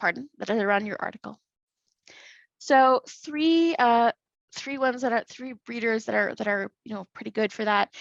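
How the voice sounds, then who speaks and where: Against a quiet background, a woman's voice comes through dry and close, with no echo. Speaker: conference presenter. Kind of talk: presentation. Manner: fast; halting.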